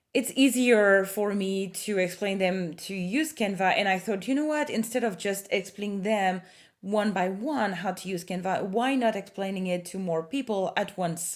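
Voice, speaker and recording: A woman at medium pitch with a slight French accent, hardly any pauses. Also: ordinary pitch variation, moderate pace. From France. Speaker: marketing consultant. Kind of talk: tutorial. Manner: hesitant, many fillers.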